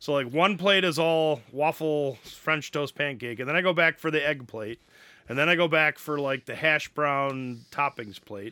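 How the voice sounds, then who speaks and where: This is an unremarkable speaking voice in an American accent, with ordinary pitch variation. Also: man, fairly high pitch for a man, moderate pace. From Wisconsin. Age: 40s. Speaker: podcast co-host and college teacher. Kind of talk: casual chat.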